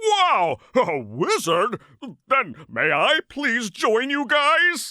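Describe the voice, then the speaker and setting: A cartoonish character voice with a fairly high pitch, delivered at a very slow pace. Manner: polite, gentle.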